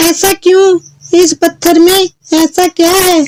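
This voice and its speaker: A squeaky, cartoonish character voice with monotone, flat intonation. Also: woman, extremely high pitch for a woman. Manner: anxious, fretful.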